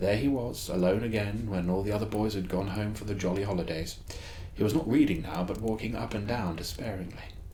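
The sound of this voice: The voice is an unforced reading voice. It carries through the whole clip.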